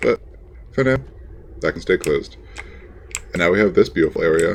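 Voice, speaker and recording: A man's voice is heard against noticeable background noise. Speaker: let's play gamer. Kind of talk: casual gameplay commentary.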